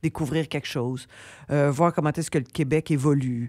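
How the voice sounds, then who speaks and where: A woman speaks at a very deep, low pitch and moderate pace. Her intonation is fairly even, and the recording is very clean with a silent background. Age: 60s. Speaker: comedian and TV host. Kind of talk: radio interview. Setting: radio studio.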